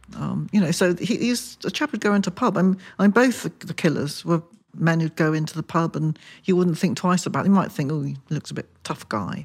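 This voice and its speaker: A woman talks at a fairly quick pace in a fairly low voice with vocal fry and lively intonation. The recording is very clean, with a silent background. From Wiltshire, southwest England. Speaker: crime novelist. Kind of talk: casual interview.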